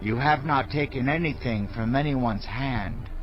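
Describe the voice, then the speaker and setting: A man's put-on character voice in a medium pitch, over clear background noise. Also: moderate pace. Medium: audio drama. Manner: earnest, affirming.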